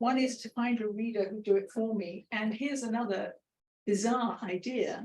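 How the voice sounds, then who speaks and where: A woman with a British accent, a fairly high pitch and fairly even intonation. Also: moderate pace. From Britain. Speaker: author. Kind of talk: book launch Q&A.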